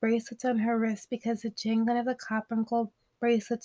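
The recording is plain reading aloud against a quiet background.

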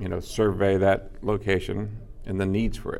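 With a Californian accent, a man talks in a very deep, low pitch, and the room echo is audible. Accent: Californian American. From Los Angeles. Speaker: film location manager. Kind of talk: casual chat. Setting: restaurant.

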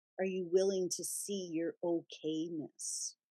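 A woman speaks in a gentle, soothing, dark and mellow tone at a fairly low pitch, recorded dry and close with no echo. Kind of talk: guided meditation. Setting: radio show. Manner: slow, soothing and calm; gentle and reassuring, with unhurried pauses.

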